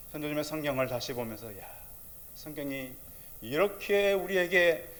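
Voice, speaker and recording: Amid audible room echo, a man speaks at a moderate pace. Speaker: pastor. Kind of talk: sermon. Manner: loud; animated.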